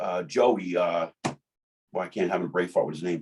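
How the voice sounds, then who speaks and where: A man speaks with a New Jersey accent. His tone is dark and mellow. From New Jersey (Jersey City). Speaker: bodybuilding emcee and sponsored athlete. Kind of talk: casual chat. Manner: halting, with many repetitions.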